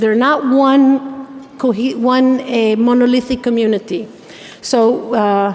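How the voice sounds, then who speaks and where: A woman speaks at a very slow pace in a high voice, her loudness very even and her intonation fairly even, with audible room echo and noticeable background noise. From Israel. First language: Hebrew. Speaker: activist, keynote speaker. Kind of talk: keynote speech. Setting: stage with audience at gala dinner.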